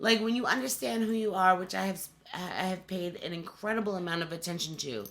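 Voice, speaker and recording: With noticeable background noise behind her, a woman of medium pitch talks at a fairly quick pace in an animated tone with ordinary pitch variation. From US East Coast. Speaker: bodybuilder and singer. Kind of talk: casual interview. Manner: loud.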